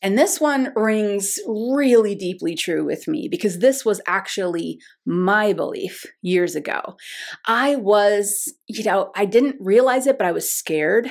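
A woman speaks at a fairly slow pace with fairly high pitch and lively intonation, in a plain, everyday voice. The recording is very clean, with a silent background. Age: 50s. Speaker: intuition teacher. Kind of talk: lesson.

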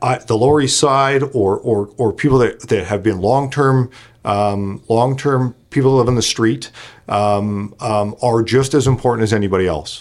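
A man speaks with a Canadian accent at a moderate pace, medium in pitch with ordinary pitch variation. It is an unremarkable speaking voice, on a very clean recording with a silent background. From Canada, Kelowna, British Columbia. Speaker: benefits company founder. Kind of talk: casual chat.

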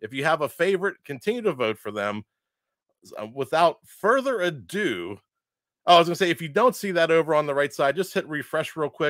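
A man's fairly high voice with vocal fry, very wide pitch swings and big swings in loudness, fairly quick pace, dry, close sound with no echo, very clean recording, silent background. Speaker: event emcee. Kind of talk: event announcements.

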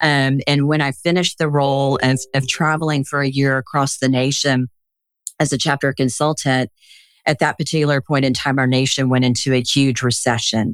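A woman speaks at a very deep, low pitch and a moderate pace, with monotone, flat intonation. Her loudness stays very even in a dry, close sound with no echo. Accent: American. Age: 60s. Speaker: business executive. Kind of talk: interview.

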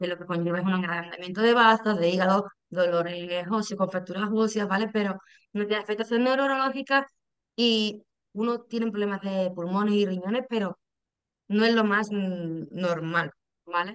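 Speaking at a moderate pace and medium pitch, a woman has ordinary pitch variation and an ordinary speaking voice. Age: 30s. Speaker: patient, lab technician. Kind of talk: interview, personal testimony.

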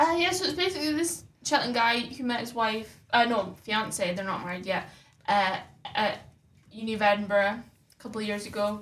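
A woman's plain, everyday voice, fairly high in pitch, with lively intonation and a fairly quick pace. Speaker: deputy editor of student newspaper. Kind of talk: casual chat.

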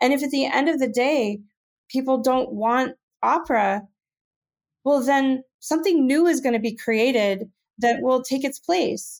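At a fairly slow pace, a woman with a high pitch and ordinary pitch variation speaks at a very even loudness, leaving long, frequent pauses. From Maine. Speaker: opera producer. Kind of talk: interview. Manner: hesitant fillers.

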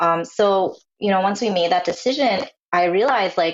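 A woman speaks in an American accent at a medium pitch and moderate pace. Hers is an ordinary speaking voice, with ordinary pitch variation. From New Jersey, US. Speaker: illustrator, mother. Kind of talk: interview.

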